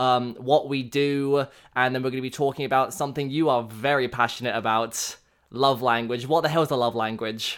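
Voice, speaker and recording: Speaking at a fairly quick pace in an English accent, this voice comes through on a very clean recording with a silent background. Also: man. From England. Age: 20s. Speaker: radio announcer. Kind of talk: casual chat. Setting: home studio, personal microphone.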